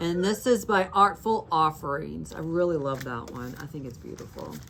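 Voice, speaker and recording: Her pitch is very deep and low for a woman, with lively intonation and a fairly slow pace. Noticeable background noise runs underneath. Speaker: needlework shop owner and video host. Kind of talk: casual show-and-tell chat. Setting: shop with a small in-person audience.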